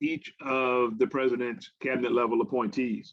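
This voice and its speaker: A man with a Southern US accent, medium pitch, fairly even intonation and a moderate pace. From US South, Arkansas. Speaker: government agricultural advisor. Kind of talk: invited talk to a farmers' forum. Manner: halting, many fillers and repeats.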